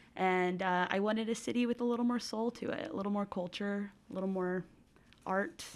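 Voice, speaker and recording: Here a woman speaks with an American accent. Her pitch is medium, with ordinary pitch variation. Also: fairly quick pace. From Colorado, US (Denver). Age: 20s. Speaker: hostel worker. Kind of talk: interview. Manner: halting, many fillers and restarts.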